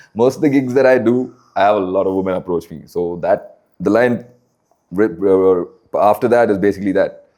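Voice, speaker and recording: A man with a Keralan accent speaks at a fairly low pitch in a dark, mellow tone. His pitch varies in an ordinary way, and his pace is fairly quick. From Bangalore, India. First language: Malayalam. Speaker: rapper. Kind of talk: casual interview.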